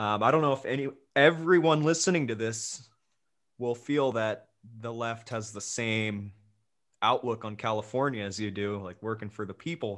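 Recorded very cleanly with a silent background, a man speaks at medium pitch and a fairly slow pace with ordinary pitch variation. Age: young. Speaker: podcast host. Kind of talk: interview.

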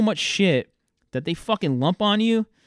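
Very wide pitch swings mark this man's moderate-paced speech in an eastern New England accent. The sound is dry and close with no echo, on a very clean recording with a silent background. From Massachusetts, South Coast (Fairhaven). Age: 30s. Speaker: podcast host. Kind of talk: casual solo monologue. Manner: halting, many filler words.

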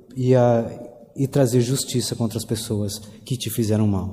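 A man's dark, mellow tone comes through somewhat breathy, at a fairly slow pace with fairly even intonation. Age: 30s. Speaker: pastor. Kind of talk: sermon.

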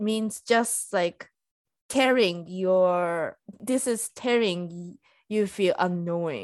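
In a quiet background, a woman speaks at a very slow pace with a Japanese accent. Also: medium pitch for a woman, ordinary pitch variation. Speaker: podcast co-host. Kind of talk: casual chat. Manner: halting.

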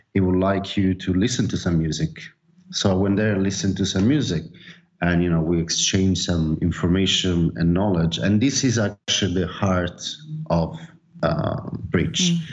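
Very even in loudness, a man's very deep, low voice moves with ordinary pitch variation at a moderate pace. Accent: Italian. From Naples, Italy. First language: Italian. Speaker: DJ and label owner. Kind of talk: casual interview. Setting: remote call.

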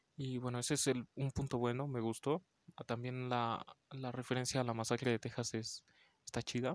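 A man speaks quietly at a moderate pace. His medium-pitched voice is monotone and flat. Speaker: podcast host, horror film reviewer. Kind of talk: casual film review monologue. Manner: quiet, holding voice back; many fillers (este).

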